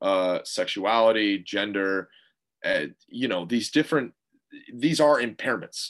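The speaker sounds nervous, moving at a fairly slow pace with long, frequent pauses. Pitch variation is ordinary. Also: man, medium pitch for a man. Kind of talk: casual interview chat. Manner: nervous energy, hesitant, filler words.

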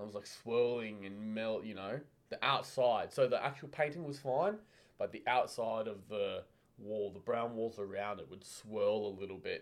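This man's loudness swings widely while his pitch varies in an ordinary way. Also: medium pitch for a man. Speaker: podcast co-host. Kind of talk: casual chat. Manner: fast.

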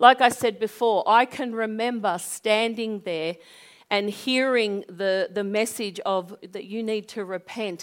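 With an Australian accent, a woman talks at a fairly slow pace in a fairly high voice, her pitch varying in an ordinary way. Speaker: pastor. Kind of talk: sermon. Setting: church. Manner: animated.

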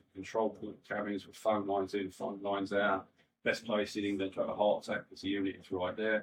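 A man's fairly low-pitched voice in a Cockney accent. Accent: London Cockney. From East London, West Ham. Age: 60s. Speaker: rave promoter. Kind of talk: casual interview. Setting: studio with live audience.

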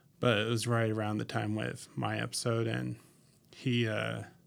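On a very clean recording with a silent background, a man talks at a moderate pace in an ordinary speaking voice. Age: 30s. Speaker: guest, delivery business worker. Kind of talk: casual chat.

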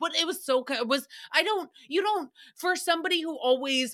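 A woman's raised, projected voice, animated, bright and sharp, with very wide pitch swings. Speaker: podcast host recapping a radio show. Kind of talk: casual solo commentary.

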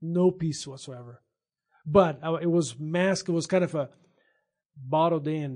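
A man with a Brazilian accent talks at a fairly slow pace in a fairly high pitch, with fairly even intonation and long, frequent pauses. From Brazil, São Paulo state. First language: Portuguese. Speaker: veterinarian. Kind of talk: testimony.

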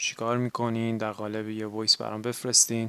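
A very fast pace over noticeable background noise. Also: man. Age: 20s. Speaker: podcast host and graduate student. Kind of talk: personal monologue.

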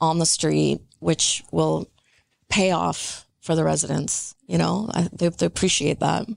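A woman with a Canadian accent talks at a fairly slow pace in a dry, close sound with no echo against a quiet background. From Metro Vancouver, Canada. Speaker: real estate consultant. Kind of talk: casual chat.

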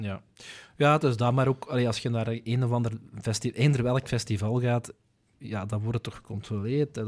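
A man with a Flemish accent speaks at a medium pitch and a moderate pace. His intonation is fairly even, and the recording is very clean with a silent background. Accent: Flemish Dutch. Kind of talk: casual chat.

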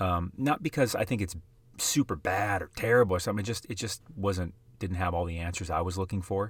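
Somewhat breathy speech with an American accent moves at a fairly quick pace and ordinary pitch variation on a very clean recording with a silent background. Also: man, very deep, low pitch for a man. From US Midwest, South Dakota. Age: 30s. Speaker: sports card investing podcaster. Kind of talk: casual monologue.

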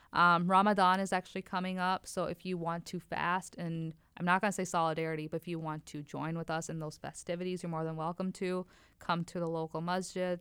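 In a very clean recording with a silent background, a woman with an American accent speaks fairly quickly in a fairly low pitch, her intonation monotone and flat. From Wisconsin. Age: 20s. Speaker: lab technician. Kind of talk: casual chat.

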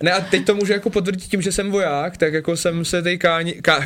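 At a fairly quick pace, a man speaks with high pitch and ordinary pitch variation. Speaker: professional soldier and former biathlete. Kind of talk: casual chat. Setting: radio studio. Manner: fast.

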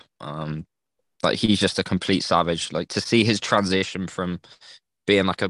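In an English accent, a man speaks with a very deep, low pitch, the sound dry and close with no echo against a quiet background. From England. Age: 20s. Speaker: NFT community member. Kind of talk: casual chat.

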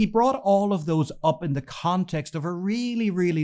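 Lively intonation from a man with an Irish accent, on a very clean recording with a silent background. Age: 40s. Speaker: newspaper editor. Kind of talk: casual chat.

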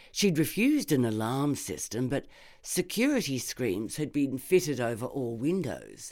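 Spoken at a moderate pace with an Australian accent, this very clean recording has a silent background. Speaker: narrator, actor and barrister. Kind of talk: reading aloud. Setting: studio.

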